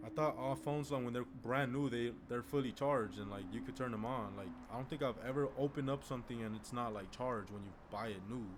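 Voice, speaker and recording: Very fast pace in a Spanish accent. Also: man, medium pitch for a man, ordinary pitch variation. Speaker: medical student streamer. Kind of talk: live stream chat. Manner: casual, filler-heavy.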